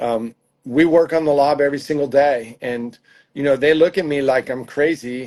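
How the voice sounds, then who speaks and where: Over a quiet background, a man with a plain, everyday voice speaks at a moderate pace in a fairly high pitch with fairly even intonation. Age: 60s. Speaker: tennis coach. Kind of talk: interview.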